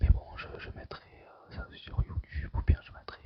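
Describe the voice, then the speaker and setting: The voice whispers. It keeps a moderate pace. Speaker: gamer streamer. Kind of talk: ASMR gaming commentary. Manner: whispered.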